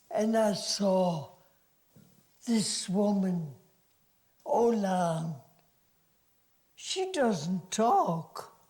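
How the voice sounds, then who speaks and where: Using a German accent, a woman speaks at a medium pitch with lively intonation. Her pace is very slow, with long, frequent pauses. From Germany. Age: 80s+. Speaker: actress. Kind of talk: interview answer.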